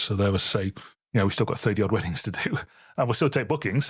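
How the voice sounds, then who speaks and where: In a West Midlands accent, a man speaks on a very clean recording with a silent background. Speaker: wedding photographer and podcast co-host. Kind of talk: casual chat.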